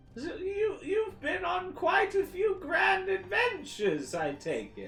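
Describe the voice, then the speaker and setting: This is a put-on character voice at an extremely high pitch, moving at a fairly slow pace. Clear music plays in the background. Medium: actual play.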